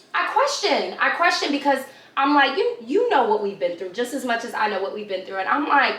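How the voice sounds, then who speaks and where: The speaker, with a New York accent, talks at a fairly quick pace with very wide pitch swings. Audible room echo and noticeable background noise surround the voice. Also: woman, high pitch for a woman. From New York, Brooklyn. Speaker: YouTuber. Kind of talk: casual chat. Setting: filming a video.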